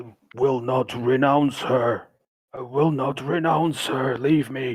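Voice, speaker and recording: At a fairly slow pace, a man puts on a character voice at medium pitch. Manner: gurgling.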